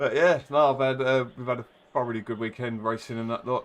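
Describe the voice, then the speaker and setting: A man is speaking here. He has a Cockney accent. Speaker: sim racing league organiser. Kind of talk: casual chat.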